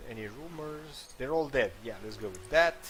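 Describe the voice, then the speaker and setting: A man's lively intonation amid audible room echo. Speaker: gaming video creator. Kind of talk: gameplay commentary. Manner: halting, many fillers.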